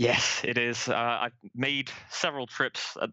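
A man with an American accent and monotone, flat intonation. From England, Manchester. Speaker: football fan, season ticket holder. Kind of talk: casual chat.

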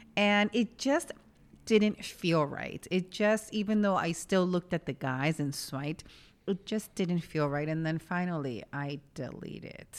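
A woman's animated voice in a New York accent, fairly low in pitch and fairly slow, on a very clean recording with a silent background. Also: lively intonation. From New York City (West Village). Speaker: podcast co-host. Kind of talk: casual chat. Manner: animated, laughs often.

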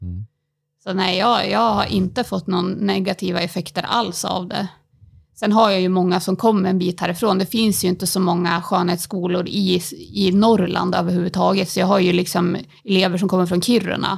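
A woman's normal speaking voice at medium pitch, with fairly even intonation. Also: moderate pace. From Sweden, Timrå near Sundsvall. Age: 30s. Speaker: beauty salon owner and local politician. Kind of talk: interview.

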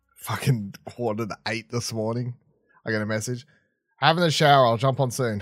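A man speaks at a moderate pace with an Australian accent. His voice sits at a medium pitch, with ordinary pitch variation. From Tasmania, Australia. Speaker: podcast host. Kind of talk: casual chat.

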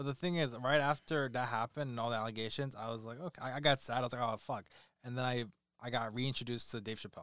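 Speaking at a very fast pace with an American accent, a man keeps a medium pitch and fairly even intonation. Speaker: podcast co-host. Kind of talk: casual chat.

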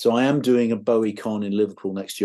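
Against a quiet background, a man with an English accent speaks in a dark, mellow tone. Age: 60s. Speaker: guitarist. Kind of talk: interview. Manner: halting.

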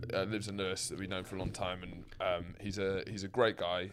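A man with a British accent talks at a very fast pace. The recording is very clean, with a silent background. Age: 20s. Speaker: podcast co-host. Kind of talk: casual banter chat.

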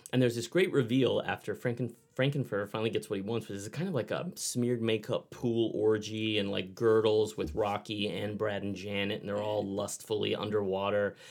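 At a fairly quick pace, a man with an unremarkable speaking voice talks in a fairly low pitch. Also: ordinary pitch variation. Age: 40s. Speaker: author and storyteller. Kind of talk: casual chat.

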